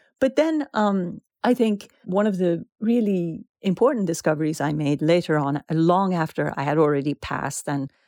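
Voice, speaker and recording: Against a quiet background, a woman with a Persian accent speaks at a moderate pace in a dry, close sound with no echo. Her tone is dark and mellow, her pitch fairly low, her intonation lively. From Iran. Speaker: author. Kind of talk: interview. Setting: remote call.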